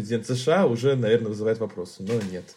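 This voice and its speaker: The man's pitch is medium and his intonation fairly even. He talks at a very fast pace. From Tolyatti, Russia. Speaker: journalist. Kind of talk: casual chat.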